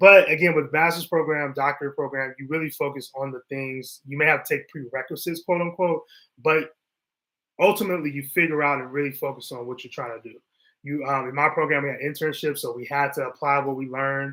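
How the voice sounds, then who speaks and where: A man speaks at a very fast pace with big swings in loudness. His pitch is fairly high and his intonation fairly even. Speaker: therapist. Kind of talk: casual livestream talk. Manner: casual, conversational.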